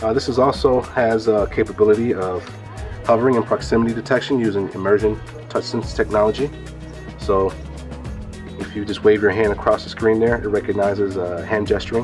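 Clear music can be heard behind the voice. The words come at a fairly quick pace. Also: man. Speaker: booth demonstrator. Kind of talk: product demo explanation. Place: hall. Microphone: camera far.

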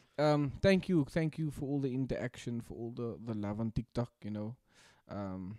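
A man at a moderate pace, dry sound with no echo, quiet background. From South Africa. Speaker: podcast co-host. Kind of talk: casual chat. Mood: reflective, grateful. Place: home room. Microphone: studio mic.

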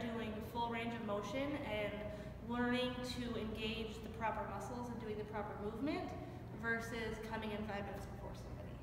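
Someone speaks at a fairly quick pace. Audible room echo and noticeable background noise are present. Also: woman. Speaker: interviewee. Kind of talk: interview answer. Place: gym. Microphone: camera far.

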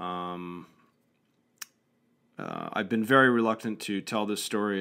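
On a very clean recording with a silent background, a man's voice comes through bright, sharp, clear and smooth.

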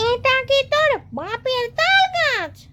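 A put-on character voice, nasal and pitched extremely high, comes through over loud background noise. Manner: scolding.

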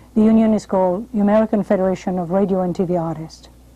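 With a French accent, a woman talks in a dark, mellow tone with ordinary pitch variation. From France. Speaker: television host and drama coach. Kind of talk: interview and advice monologue. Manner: formal. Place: studio. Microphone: lapel.

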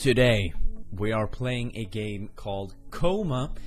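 The speaker is a man. Faint music plays in the background. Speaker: gamer. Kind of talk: commentary. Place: home room.

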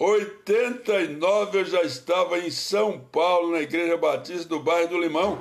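A man speaks at a very slow pace in a high voice with ordinary pitch variation. The background is quiet. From Bahia, Brazil. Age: 70s. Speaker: pastor. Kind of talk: casual livestream talk. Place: home room. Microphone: phone near.

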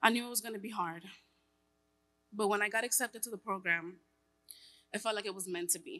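With a bright, sharp tone, a woman speaks at a very fast pace with long, frequent pauses, big swings in loudness and ordinary pitch variation. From New York. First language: Spanish. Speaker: tech worker and single mother. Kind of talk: personal testimony speech. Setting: stage with audience. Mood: earnest, reflective. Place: hall. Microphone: podium.

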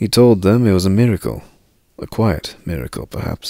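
With ordinary pitch variation, the speaker does plain reading aloud.

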